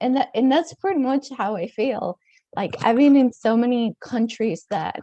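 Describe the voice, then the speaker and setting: A woman with a dark, mellow tone talks fairly slowly. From Mexico. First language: Spanish. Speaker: author and dancer. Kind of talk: podcast interview.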